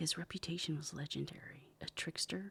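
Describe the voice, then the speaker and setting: Whispering at a moderate pace, a woman speaks. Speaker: author and ASMR narrator. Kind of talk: ASMR reading aloud of fiction. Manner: whispered.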